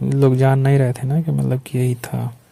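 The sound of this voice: A man speaks with vocal fry in a dark, mellow tone. His pitch moves very little. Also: medium pitch for a man, moderate pace.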